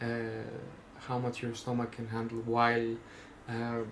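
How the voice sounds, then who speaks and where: The voice carries a Greek accent. Audible room echo surrounds it. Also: man. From Greece. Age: 20s. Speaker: vlogger. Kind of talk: casual monologue. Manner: halting, many fillers.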